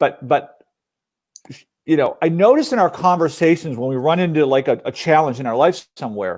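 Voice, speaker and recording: Speaking at a fairly quick pace, a man has a fairly high pitch. His intonation is lively. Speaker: entrepreneur. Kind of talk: interview conversation. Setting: live stream broadcast. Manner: speaking quietly.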